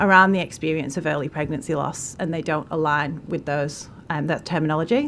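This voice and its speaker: The woman's pitch varies in an ordinary way as she talks at a fairly quick pace. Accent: northern English. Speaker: charity representative, witness at parliamentary inquiry. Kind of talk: testimony. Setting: parliamentary committee hearing.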